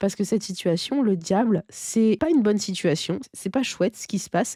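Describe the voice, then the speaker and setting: In a very clean recording with a silent background and a dry, close sound with no echo, a woman of medium pitch speaks at a moderate pace, somewhat breathy and dark, mellow in tone. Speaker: tarot card reader. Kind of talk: tarot reading. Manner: hesitant, many fillers.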